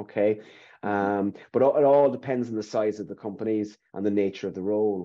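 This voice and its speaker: Over a quiet background, a man talks fairly quickly in a fairly low voice. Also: ordinary pitch variation. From Ireland. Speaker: recruitment consultant. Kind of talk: webinar interview. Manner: hesitant, repetitive. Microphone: webcam.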